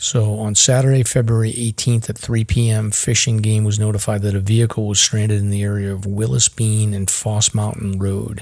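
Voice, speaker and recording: Somewhat breathy and fairly low-pitched, a man speaks at a moderate pace in a monotone, flat intonation. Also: hardly any pauses, very clean recording, silent background. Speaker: hiking and search and rescue podcast host. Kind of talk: casual chat.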